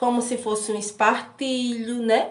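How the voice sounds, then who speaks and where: Against audible room echo, a woman speaks at a very slow pace. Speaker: sewing and pattern-making teacher. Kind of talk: live-streamed class. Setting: live stream on social media.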